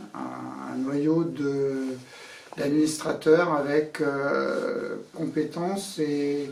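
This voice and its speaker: A man speaks with a fairly high pitch and fairly even intonation. Noticeable background noise and audible room echo are present. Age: 60s. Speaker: association board candidate, boat skipper. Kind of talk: candidate self-presentation. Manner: halting, many hesitations.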